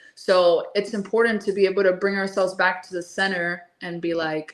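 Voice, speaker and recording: A woman speaks in a Spanish accent at a medium pitch. Her pace is fairly quick. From Miami, Florida. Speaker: holistic nutritionist. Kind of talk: interview.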